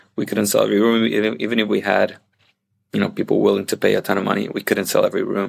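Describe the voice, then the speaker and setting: A man speaks with a Puerto Rican accent. His pace is very fast. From Puerto Rico. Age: 40s. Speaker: hotel operations director. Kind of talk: interview. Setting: video call.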